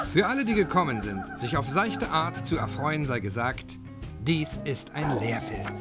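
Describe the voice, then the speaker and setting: Music plays in the background as a man speaks at a fairly slow pace. His medium-pitched voice moves through very wide pitch swings. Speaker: film narrator. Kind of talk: lecture-like film narration. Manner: measured, didactic, pseudo-scientific.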